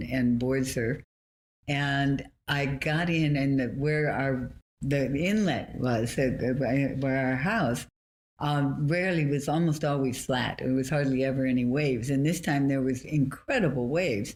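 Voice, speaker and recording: Fairly slow and very even in loudness, a woman with an American accent speaks in a very deep, low pitch with ordinary pitch variation. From Southern California. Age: 80s+. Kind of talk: interview answer. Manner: lively, articulate.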